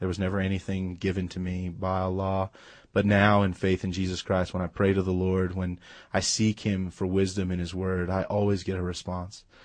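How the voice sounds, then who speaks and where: Monotone, flat intonation in an American accent over a quiet background. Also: man. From US West Coast, Los Angeles. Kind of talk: testimony.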